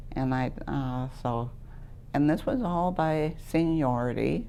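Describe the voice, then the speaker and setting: A woman with an American accent speaks at a very slow pace in a very deep, low pitch. Her tone is dark and mellow, and room echo is audible. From Wisconsin. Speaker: retired letter carrier. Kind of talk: oral history interview. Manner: loud; talkative, laughs often.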